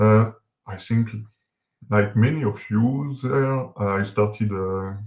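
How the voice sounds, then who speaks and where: Speaking very slowly with a French accent, a man has a fairly low pitch and fairly even intonation against a quiet background. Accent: French accent, noticeable. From France. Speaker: software developer; guest. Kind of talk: interview, introducing himself. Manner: halting, many fillers. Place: home room. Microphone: video call.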